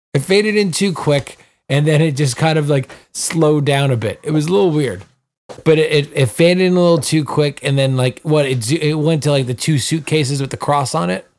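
A man's fairly high voice moves at a fairly quick pace with ordinary pitch variation. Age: 30s. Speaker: podcast co-host. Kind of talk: casual chat. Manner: halting.

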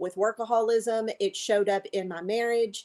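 With an ordinary speaking voice, a woman talks at a moderate pace and a fairly high pitch with fairly even intonation, in a very clean recording with a silent background and a dry, close sound with no echo. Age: 50s. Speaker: life coach for codependency. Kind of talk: interview about personal story.

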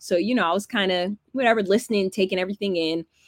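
A woman with an American accent speaks in an animated tone at medium pitch. The sound is dry and close, with no echo. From Georgia (Alpharetta, Atlanta area), early childhood in California. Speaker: sports in-game host and media producer. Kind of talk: casual interview.

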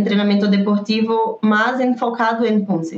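Noticeable background noise sits behind a woman's fairly high voice. Her intonation is monotone and flat. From Brazil. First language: Portuguese (speaking Spanish). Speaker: taekwondo poomsae coach. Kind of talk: interview.

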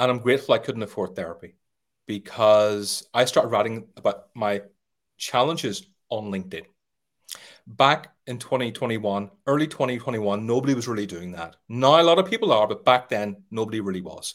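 Recorded very cleanly against a silent background, a man's medium-pitched voice shows ordinary pitch variation and big swings in loudness. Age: 40s. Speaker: sales trainer. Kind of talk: interview.

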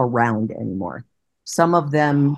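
A woman is speaking. Her voice sits very deep and low in pitch. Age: 60s. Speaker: retired teacher and game streamer. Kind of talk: interview.

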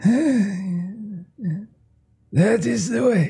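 Faint music plays behind a whispering, put-on character voice. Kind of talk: haughty, cryptic. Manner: whispering, strange, elongated.

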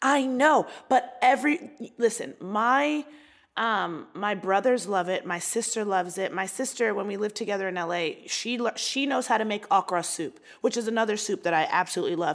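In a very clean recording with a silent background, a woman speaks with an American accent at a moderate pace. Her pitch is fairly high, her intonation is lively, and she has a normal speaking voice. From US, Baltimore, Maryland. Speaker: comedian. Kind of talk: casual chat.

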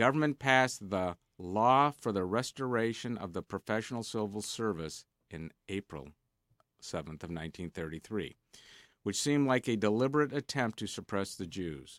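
On a very clean recording with a silent background and a dry, close sound with no echo, a man with a plain, everyday voice speaks at a fairly low pitch and moderate pace with lively intonation. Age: 60s. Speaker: radio co-host. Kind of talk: casual banter on a radio business show. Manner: bantering, interrupting.

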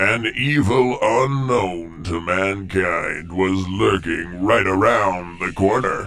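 Over clear background noise, a man talks at a very slow pace in a very deep, low voice. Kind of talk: melodramatic recap narration.

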